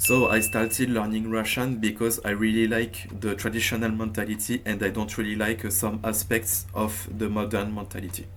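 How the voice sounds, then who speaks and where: A man with a French accent and monotone, flat intonation, with music in the background. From France. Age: 20s. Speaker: language learning youtuber. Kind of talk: tutorial. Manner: hesitant, with frequent fillers.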